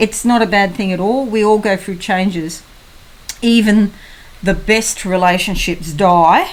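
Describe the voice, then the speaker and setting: A woman with a plain, everyday voice speaks at a fairly slow pace and a medium pitch, keeping her intonation fairly even. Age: 60s. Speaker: psychic tarot reader. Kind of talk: tarot horoscope reading. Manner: casual, conversational.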